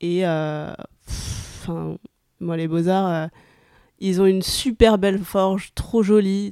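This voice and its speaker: In a very clean recording against a silent background, a woman speaks very slowly with a fairly low pitch, fairly even intonation and a dark, mellow tone. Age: 20s. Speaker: photographer. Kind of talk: casual chat. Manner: hesitant.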